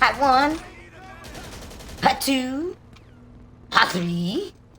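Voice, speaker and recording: A squeaky, high-pitched, female-sounding put-on character voice with very wide pitch swings. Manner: threatening.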